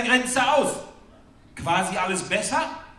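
Heard through strong room echo, a man speaks at a fairly slow pace with a bright, sharp tone.

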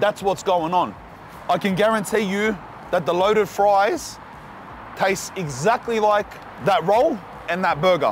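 A man's high voice at a fairly slow pace, with ordinary pitch variation, a dry sound with no echo and light background noise. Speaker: food reviewer. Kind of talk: casual food review vlog chat. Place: street. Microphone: lapel.

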